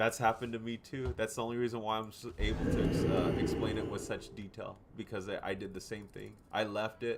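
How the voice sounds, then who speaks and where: A man speaks at a fairly quick pace in a fairly low voice, with noticeable background noise behind him. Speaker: gaming streamer. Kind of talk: casual chat. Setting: in-game voice chat. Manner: loud.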